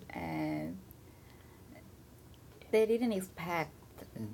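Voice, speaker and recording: A woman is speaking. Her tone is nervous. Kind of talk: casual study-group chat.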